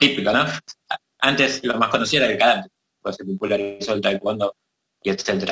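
A man talks at a fairly quick pace and a medium pitch, with ordinary pitch variation and long, frequent pauses. The sound is dry and close, with no echo. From Argentina. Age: 30s. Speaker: martial arts teacher. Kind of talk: casual chat.

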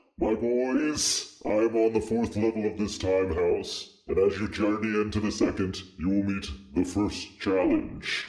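A man puts on a character voice. His pitch sits fairly low, and he speaks at a moderate pace. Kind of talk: comic spooky villain. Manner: menacing, theatrical, taunting.

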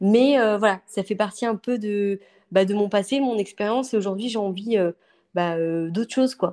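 In a very clean recording with a silent background and a dry, close sound with no echo, a woman speaks at a moderate pace in a dark, mellow tone at a medium pitch with ordinary variation. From western France (Angers). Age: 30s. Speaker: interior decorator. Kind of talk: interview. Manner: hesitant, many fillers.

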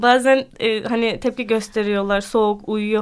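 Her fairly high voice keeps a fairly even intonation, as this woman speaks. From Turkey (born Ankara). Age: 20s. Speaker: French teacher and cycling club founder. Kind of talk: radio interview. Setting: radio studio. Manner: hesitant, many fillers.

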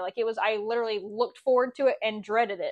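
Very fast female speech, fairly high in pitch and fairly even in intonation. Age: 20s. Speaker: abuse survivor. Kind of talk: personal testimony.

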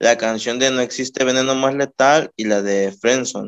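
A man's voice with ordinary pitch variation, in a very clean recording with a silent background. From Mexico, Colima. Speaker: rapper. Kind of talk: casual interview.

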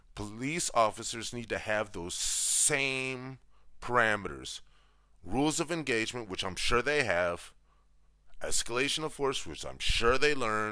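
An American-accented man at a fairly slow pace, animated and with a bright, sharp tone, in a very clean recording with a silent background. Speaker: podcast host. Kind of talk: opinion monologue.

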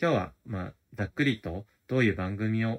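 The man's voice is fairly low and moves at a moderate pace. The recording is very clean with a silent background and a dry, close sound with no echo. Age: 30s. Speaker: podcast host. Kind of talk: casual solo diary talk. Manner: halting, many fillers.

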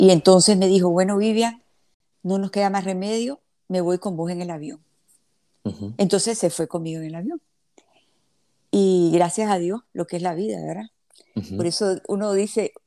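With long, frequent pauses and big swings in loudness, a woman speaks at a moderate pace in a dark, mellow tone at medium pitch with ordinary pitch variation, the very clean recording dry and close with no echo against a silent background. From Nicaragua (born in Havana, Cuba). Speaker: philanthropist, plane crash survivor. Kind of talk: interview, personal story.

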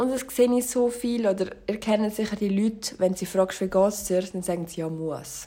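At a moderate pace and with hardly any pauses, a woman talks at a medium pitch in a dark, mellow tone with ordinary pitch variation. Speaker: solo podcaster. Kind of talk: casual monologue.

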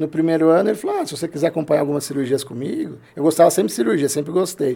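The man talks at a very fast pace. His tone is dark and mellow. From Brazil, São Paulo state (Limeira). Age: 40s. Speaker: plastic surgeon. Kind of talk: casual interview chat.

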